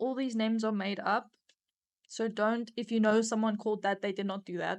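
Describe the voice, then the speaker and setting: Against a quiet background, a woman with a South African accent speaks at a fairly high pitch in a monotone, flat intonation. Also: fairly quick pace. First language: Afrikaans. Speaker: podcast co-host. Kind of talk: casual chat.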